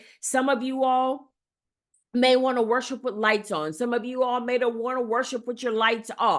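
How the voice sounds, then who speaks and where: In a quiet background, a woman talks loudly at a high pitch with an animated tone. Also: moderate pace. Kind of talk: teaching talk.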